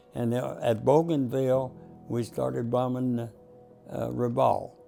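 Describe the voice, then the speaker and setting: A man with an American accent speaks at a very slow pace in a medium pitch, with music playing in the background. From Texas. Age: 80s+. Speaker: war veteran. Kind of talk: interview answer.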